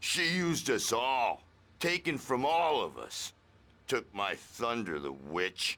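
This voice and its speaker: A man does a put-on character voice. It sits at a medium pitch and moves at a fairly slow pace. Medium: video game. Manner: loud, hippie slang.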